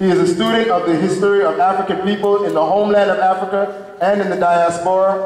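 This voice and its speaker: Audible room echo surrounds the speech. It races along at a very fast pace with hardly any pauses. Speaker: event presenter introducing honoree. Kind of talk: formal speaker introduction read aloud. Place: hall.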